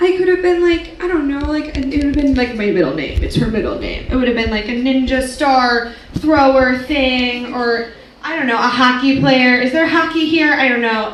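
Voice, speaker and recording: A high-pitched woman's voice with an American accent, ordinary pitch variation, a moderate pace and noticeable background noise. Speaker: comedian. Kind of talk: live stand-up comedy performance. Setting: live stage with audience. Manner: casual, chatty, sarcastic.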